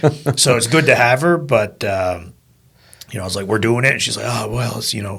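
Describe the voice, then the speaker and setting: Speaking with a Nova Scotian accent, a man talks at a fairly quick pace and a medium pitch with lively intonation. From Nova Scotia, Argyle (Acadian area, South Shore). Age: 30s. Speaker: podcast host. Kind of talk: casual chat.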